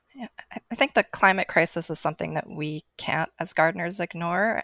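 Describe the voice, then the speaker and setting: A plain, everyday voice with an American accent, at a moderate pace, in a dry, close sound with no echo. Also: woman. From New Jersey. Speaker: garden editor. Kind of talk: casual chat. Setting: video call.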